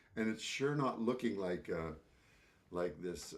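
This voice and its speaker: A man speaks at a fairly slow pace with lively intonation. Room echo can be heard. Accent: Canadian. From Canadian Prairies, Saskatchewan. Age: 70s. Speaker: composer and speaker. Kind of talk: talk to an audience. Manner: halting, many repetitions.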